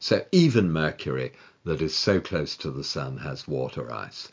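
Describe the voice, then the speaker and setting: A man with vocal fry speaks at a fairly slow pace. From southern England. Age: 70s. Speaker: retired research astronomer. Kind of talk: interview. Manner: halting.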